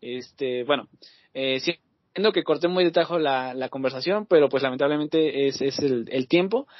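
A man's fairly high-pitched voice, an ordinary speaking voice, with a moderate pace and ordinary pitch variation. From Mexico. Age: 20s. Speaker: podcast host. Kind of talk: casual chat. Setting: video call.

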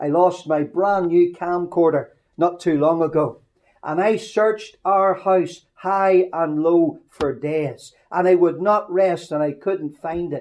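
A man with a Northern Irish accent, high-pitched and very slow. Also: fairly even intonation. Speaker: preacher. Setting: mission hall service. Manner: folksy, humorous storyteller.

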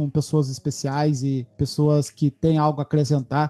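In a dry, close sound with no echo and a quiet background, a man speaks at a moderate pace with a fairly high pitch and a dark, mellow tone. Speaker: podcaster. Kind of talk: casual chat.

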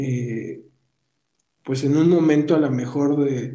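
A man's fairly high, somewhat breathy voice with a dark, mellow tone, monotone and flat at a fairly slow pace, with audible room echo. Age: 40s. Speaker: podcast host. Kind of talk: casual interview. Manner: halting, with frequent repetitions.

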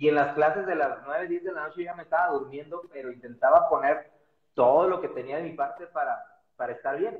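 The speech runs at a fairly quick pace with ordinary pitch variation and big swings in loudness. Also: man, fairly high pitch for a man. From Mexico, Guadalajara. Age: 40s. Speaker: physiotherapist. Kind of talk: interview. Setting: Instagram live video.

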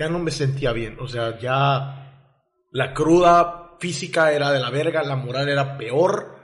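The room echo is audible as a man talks at a very slow pace. His pitch is fairly high, with ordinary variation. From El Salvador. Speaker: podcast guest, communications graduate. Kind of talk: casual interview about addiction and rehab.

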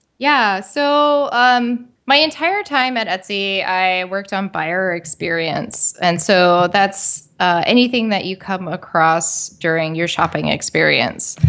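At a very slow pace yet with hardly any pauses, a woman with an American accent speaks at a medium pitch with lively intonation and a bright, sharp tone against a quiet background. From US, West Virginia. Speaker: product designer. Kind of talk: casual interview. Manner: hesitant, filler-heavy.

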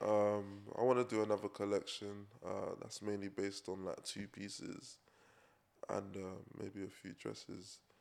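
A man with a London accent, fairly low in pitch, at a moderate pace, with flat, monotone intonation and big swings in loudness. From England. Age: 20s. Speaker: fashion designer. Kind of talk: casual chat.

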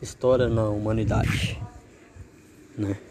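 A man at a medium pitch, very slow in pace, with ordinary pitch variation and noticeable background noise. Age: 20s. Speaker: amateur podcaster. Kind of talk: practice podcast monologue. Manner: repetitive filler "né".

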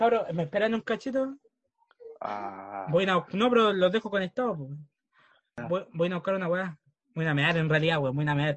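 With a Chilean accent, a man speaks at a moderate pace in a high pitch and lively intonation, pausing long and often. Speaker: podcast co-host. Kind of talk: casual chat.

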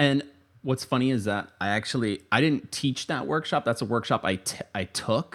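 A man with an American accent has an ordinary speaking voice. His pitch is medium, with ordinary pitch variation. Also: moderate pace. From Florida (Tampa). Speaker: poet and writing teacher. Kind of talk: casual chat.

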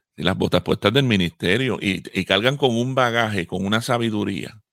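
A plain, everyday voice from a man with fairly low pitch, ordinary pitch variation and a moderate pace, recorded very clean against a silent background with a dry, close sound and no echo. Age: 50s. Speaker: pastor and radio co-host. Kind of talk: radio talk show discussion.

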